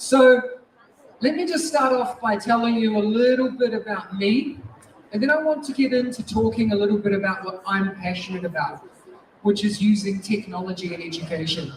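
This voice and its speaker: A strong New Zealand accent in an animated tone, with noticeable background noise. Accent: thick New Zealand. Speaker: teacher and education technology speaker. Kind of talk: conference keynote talk. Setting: stage with audience. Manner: fast.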